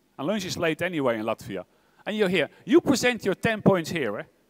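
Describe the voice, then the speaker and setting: A man talks fairly quickly in a high voice, his pitch swinging very widely. The sound is dry and close, with no echo. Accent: Dutch. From Netherlands. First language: Dutch. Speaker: tech executive. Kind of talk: keynote speech. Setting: stage with audience. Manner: fast; animated.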